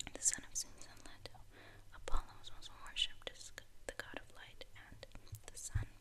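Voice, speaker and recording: A moderate-paced whisper with long, frequent pauses. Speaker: ASMR creator. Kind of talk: ASMR show and tell. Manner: whispered. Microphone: studio mic.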